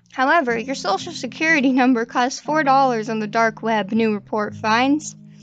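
With hardly any pauses, a woman talks in a fairly high pitch with ordinary pitch variation. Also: moderate pace. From Manitoba, Canada. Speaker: podcast host. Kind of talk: casual news commentary. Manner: animated.

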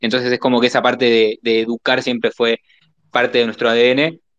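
In an ordinary speaking voice, a man talks at a fairly quick pace and a medium pitch. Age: 20s. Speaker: marketing agency entrepreneur. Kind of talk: casual panel discussion. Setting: online audio space.

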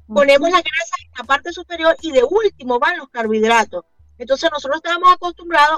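Over background music, a woman's lively intonation comes through a dry, close recording with no echo. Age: 50s. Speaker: keto diet advocate and entrepreneur. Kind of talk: radio interview.

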